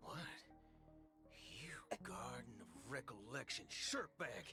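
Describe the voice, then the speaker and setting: A put-on character voice whispers at a fairly slow pace. Clear music plays behind it. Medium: video game. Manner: brash, sarcastic, profanity-dodging.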